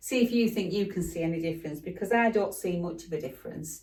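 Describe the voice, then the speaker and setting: Speaking very fast, a woman uses a fairly low voice with ordinary pitch variation. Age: 60s. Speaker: fashion vlogger. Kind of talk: try-on haul vlog. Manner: chatty, casual with hesitations.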